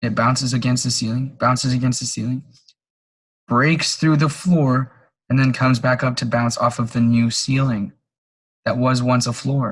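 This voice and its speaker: This man's somewhat breathy voice keeps a fairly even intonation, broken by long, frequent pauses. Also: medium pitch for a man, moderate pace. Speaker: trading educator. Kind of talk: live trading webinar. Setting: live online call.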